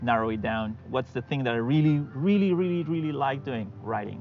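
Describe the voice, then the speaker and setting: With music in the background, a man in a Spanish accent speaks at a fairly quick pace, medium in pitch with ordinary variation. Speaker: fantasy writer. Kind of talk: podcast interview. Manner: hesitant, many fillers.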